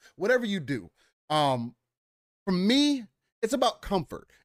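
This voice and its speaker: The man speaks in an animated tone. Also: dry, close sound with no echo. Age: 20s. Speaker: gaming show co-host. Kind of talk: casual chat. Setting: video call.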